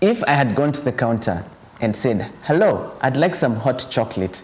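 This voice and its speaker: Speaking in a Kenyan accent, a man with a medium pitch moves at a moderate pace with lively intonation. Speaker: actor and storyteller. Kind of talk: personal storytelling. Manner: animated.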